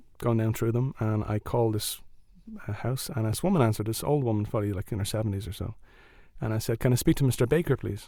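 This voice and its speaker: This man has an Irish accent and talks at a very fast pace. The recording is very clean, with a silent background. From Ireland. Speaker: storyteller. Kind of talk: live storytelling.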